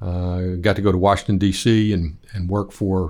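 In a West Texas accent, a man speaks with a fairly low pitch and ordinary pitch variation. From Lubbock, Texas. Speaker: plastic surgeon and church elder. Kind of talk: interview. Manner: halting.

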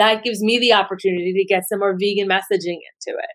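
With ordinary pitch variation, the words come out at a fairly quick clip. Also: woman. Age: 40s. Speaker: writer and animal rights activist. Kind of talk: interview.

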